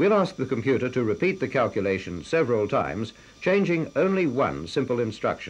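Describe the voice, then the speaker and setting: Vocal fry at a moderate pace, with very wide pitch swings. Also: man. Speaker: film narrator. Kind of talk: scripted educational film narration. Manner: formal, measured, authoritative.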